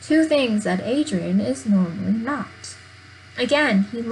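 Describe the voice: With lively intonation, someone reads aloud plainly.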